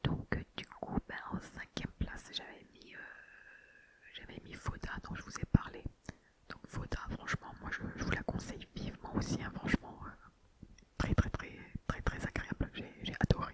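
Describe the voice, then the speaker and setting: Over noticeable background noise, a woman whispers at a fairly slow pace, with long, frequent pauses and big swings in loudness. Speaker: ASMR creator. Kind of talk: casual ASMR talk to viewers. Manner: whispered.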